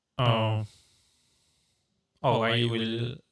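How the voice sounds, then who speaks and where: Flat and monotone, a man talks at a medium pitch. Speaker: streamer. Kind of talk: live stream tutorial. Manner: halting, many fillers.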